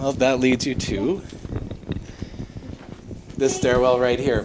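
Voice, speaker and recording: Amid noticeable background noise, a man of medium pitch talks very slowly with fairly even intonation. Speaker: ghost tour guide. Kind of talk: live guided tour talk to a group. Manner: casual, conversational.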